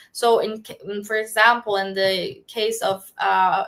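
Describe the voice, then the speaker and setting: A woman with a non-native accent speaks at a fairly slow pace, her fairly high voice bright and sharp in tone. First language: not English. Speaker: startup founder. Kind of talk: casual chat. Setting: live stream. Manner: halting.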